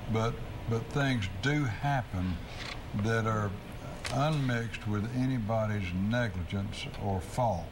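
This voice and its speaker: A man at a very slow pace, ordinary pitch variation, noticeable background noise. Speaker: lawyer answering legal questions on radio. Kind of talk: call-in legal advice show. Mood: calm, reassuring. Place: studio. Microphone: lapel.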